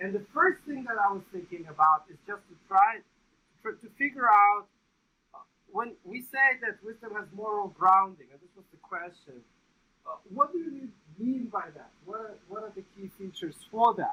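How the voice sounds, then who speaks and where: A man with a non-native accent uses a raised, projected voice at a high pitch. His tone is bright and sharp, with big swings in loudness. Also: moderate pace. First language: not English. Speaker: research psychologist, meeting organizer. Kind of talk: conference presentation. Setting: meeting room, livestreamed. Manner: hesitant, many fillers.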